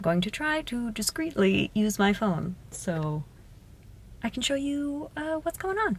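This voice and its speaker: Over noticeable background noise, a woman speaks at a moderate pace with very wide pitch swings. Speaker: fashion vlogger. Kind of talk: casual vlog.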